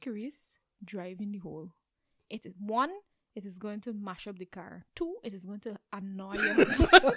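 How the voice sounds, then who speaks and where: A woman with a Guyanese accent talks at a moderate pace in a fairly high pitch, with lively intonation and big swings in loudness. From Guyana. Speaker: therapist. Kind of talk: casual podcast conversation.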